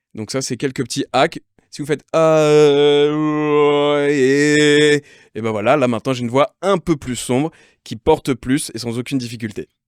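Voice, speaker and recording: A man talks at a fairly slow pace in a fairly high pitch. The recording is very clean, with a silent background and a dry, close sound with no echo. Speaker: singer and vocal coach. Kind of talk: casual interview with vocal exercises. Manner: animated.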